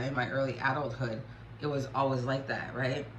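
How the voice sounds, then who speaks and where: Recorded with audible room echo and noticeable background noise, a woman speaks in a very deep, low pitch. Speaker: spiritual YouTuber. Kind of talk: personal vlog testimony.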